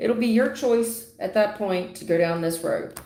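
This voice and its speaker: A woman's voice with ordinary pitch variation, set in audible room echo. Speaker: tarot reader. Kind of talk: live stream tarot reading. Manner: loud.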